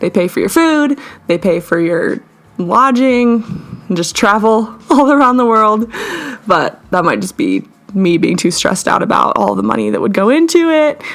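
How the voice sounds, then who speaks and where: Very wide swings in pitch mark the fairly high voice of a woman. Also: moderate pace. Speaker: artist. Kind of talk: casual voiceover over art timelapse. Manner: casual, rambling.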